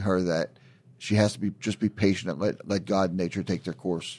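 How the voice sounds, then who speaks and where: The recording is very clean, with a silent background. A man with a plain, everyday voice speaks fairly quickly at a fairly low pitch with fairly even intonation. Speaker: cancer patient and caregiver. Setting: pre-recorded conversation.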